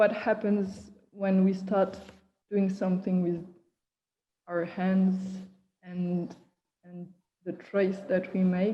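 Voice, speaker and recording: A woman with a non-native accent speaks at a very slow pace with long, frequent pauses. Her voice is somewhat breathy, dark and mellow in tone, and monotone and flat in intonation. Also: medium pitch for a woman. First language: not English. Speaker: artist and performer. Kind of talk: casual chat. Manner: halting.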